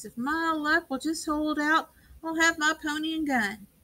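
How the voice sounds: A woman puts on a character voice, talking at a high pitch and a moderate pace.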